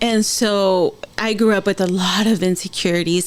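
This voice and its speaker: Noticeable background noise accompanies fairly slow speaking. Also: woman. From San Diego, California. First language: Spanish. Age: 30s. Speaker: podcast host. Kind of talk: podcast interview.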